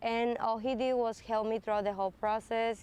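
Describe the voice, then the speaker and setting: A woman's fairly high, monotone voice at a moderate pace, flat in intonation. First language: not English. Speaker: communications graduate. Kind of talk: testimonial interview.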